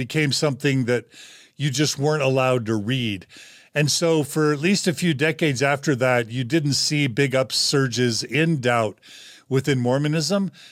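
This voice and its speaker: This man has a plain, everyday voice, fairly high in pitch with ordinary variation, at a moderate pace. The recording is very clean, with a silent background. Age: 50s. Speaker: podcast host. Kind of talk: casual discussion.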